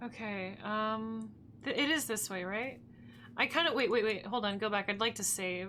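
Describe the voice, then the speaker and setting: A woman speaks quietly at a moderate pace. Her pitch is fairly high, with ordinary pitch variation. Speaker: gaming streamer. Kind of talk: let's play commentary. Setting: live stream.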